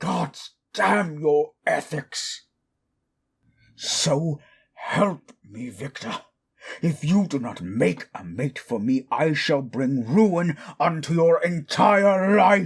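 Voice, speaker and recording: In a put-on character voice, someone shouts at a very slow pace with long, frequent pauses. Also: man, fairly high pitch for a man. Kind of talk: audio drama roleplay. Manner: angry, shouting.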